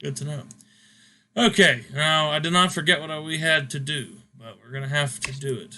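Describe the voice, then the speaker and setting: A man's fairly high-pitched, bright, sharp voice with big swings in loudness. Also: ordinary pitch variation, moderate pace. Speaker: gaming channel host, wrestling sim commentator. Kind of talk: casual chat. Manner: halting, stumbling over words.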